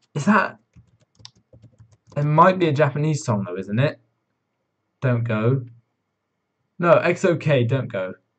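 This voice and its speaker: Somewhat breathy and fairly high-pitched, a man talks at a fairly slow pace with lively intonation and long, frequent pauses. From southern England. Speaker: kpop reaction streamer. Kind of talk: live stream chat. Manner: hesitant, many fillers.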